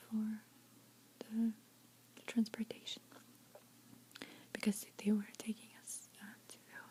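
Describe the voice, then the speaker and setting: Over noticeable background noise, a woman with a gentle tone and fairly high pitch talks at a fairly slow pace with long, frequent pauses. Her intonation is monotone and flat, while her loudness swings widely. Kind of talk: ASMR soft-spoken storytelling with lip smacking. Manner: soft-spoken, gentle, whispery.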